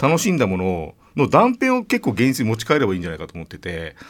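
A man speaks at a fairly quick pace with a medium-pitched voice. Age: 40s. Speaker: radio host. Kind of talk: radio interview. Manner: subdued.

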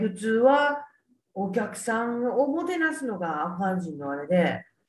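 The pace is fairly slow. A woman talks with very wide pitch swings. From Kyoto, Japan. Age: 50s. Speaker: journalist. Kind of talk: interview.

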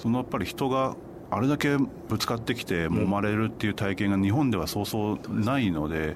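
A man speaks at a fairly quick pace with lively intonation, over noticeable background noise. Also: fairly low pitch for a man. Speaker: Asia travel writer. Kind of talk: radio interview.

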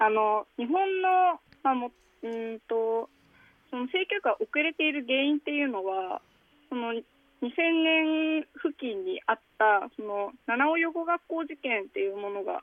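A woman's high-pitched voice, fairly slow in pace, with very wide pitch swings. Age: 20s. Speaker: nonprofit founder, sex education activist. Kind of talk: interview.

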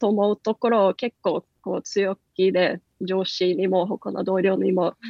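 This speaker has a Norwegian accent. The pace is very slow. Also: woman. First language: Norwegian (speaking Japanese). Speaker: company country manager. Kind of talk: radio interview. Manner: many fillers.

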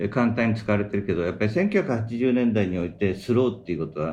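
A man's fairly low voice is heard with audible room echo. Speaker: business planner. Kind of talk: casual chat.

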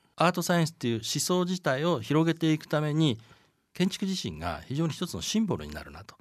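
Against a quiet background, a man talks at a very fast pace with vocal fry. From Japan, Chiba. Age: 60s. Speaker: communication design producer. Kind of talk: interview.

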